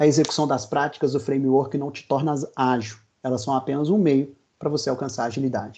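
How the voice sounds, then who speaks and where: Fairly high-pitched male voice, dark and mellow in tone, with fairly even intonation and a fairly quick pace. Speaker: agile consultant. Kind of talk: webinar presentation. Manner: fast.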